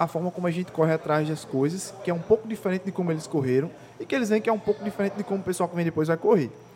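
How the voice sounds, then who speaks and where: A man's high-pitched voice, with ordinary pitch variation, is heard against noticeable background noise. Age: 20s. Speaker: podcast host. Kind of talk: casual interview. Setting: hotel.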